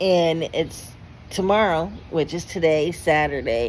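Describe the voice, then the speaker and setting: Her pitch fairly low with ordinary variation, a woman speaks at a very slow pace. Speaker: vlogger. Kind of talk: personal vlog testimony. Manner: halting, stuttering.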